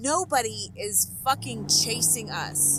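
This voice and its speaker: There is noticeable background noise. Through it, a woman can be heard talking. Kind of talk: audiobook character dialogue.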